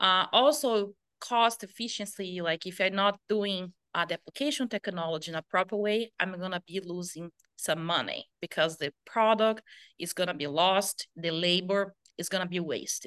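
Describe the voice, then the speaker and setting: A woman with a Brazilian accent talks at a medium pitch with ordinary pitch variation. The sound is dry and close with no echo, over a quiet background. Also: moderate pace. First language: Portuguese. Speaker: pesticide application specialist. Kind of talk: interview answers.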